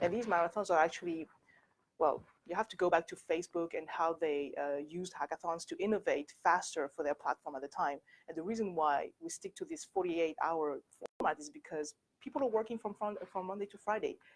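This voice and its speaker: A woman with a French accent speaks at a fairly quick pace in a fairly low pitch with ordinary pitch variation and big swings in loudness, in a dry, close sound with no echo. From France. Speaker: company director and workshop speaker. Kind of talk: presentation. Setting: university workshop with audience. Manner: halting.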